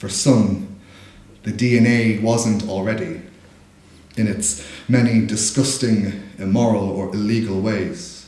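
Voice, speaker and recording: In a Dublin accent, a man of medium pitch speaks at a fairly slow pace with ordinary pitch variation, and audible room echo surrounds him. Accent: Dublin Irish. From Ireland, Dublin. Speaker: spoken word poet. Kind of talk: casual stage introduction; poetry performance.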